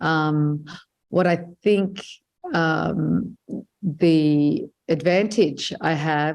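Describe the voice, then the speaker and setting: With an Australian accent, a woman speaks in a very deep, low pitch with ordinary pitch variation against a quiet background. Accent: non-Lebanese English accent, Australian. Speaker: filmmaker and journalist. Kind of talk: interview. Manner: hesitant, many fillers.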